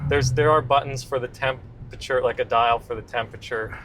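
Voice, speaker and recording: Medium in pitch, this man has an unremarkable speaking voice. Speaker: car reviewer. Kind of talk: casual chat.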